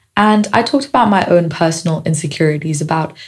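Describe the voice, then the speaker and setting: Her pitch fairly low and her voice somewhat breathy, a woman talks. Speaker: podcast host. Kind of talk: casual podcast monologue.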